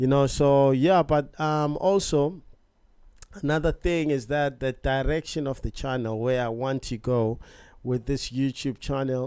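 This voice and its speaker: Speaking with a South African accent, a man uses a fairly high pitch, a dark, mellow tone, a relaxed tone and fairly even intonation on a very clean recording with a silent background. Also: fairly slow pace. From South Africa, Johannesburg. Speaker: vlogger. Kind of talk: casual vlog introduction. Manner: casual, relaxed.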